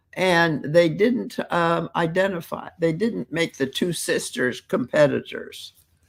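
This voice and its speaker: Recorded very cleanly against a silent background, the speaker talks at a very slow pace with hardly any pauses. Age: 80s+. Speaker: elderly mother guest. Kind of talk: casual chat. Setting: live stream.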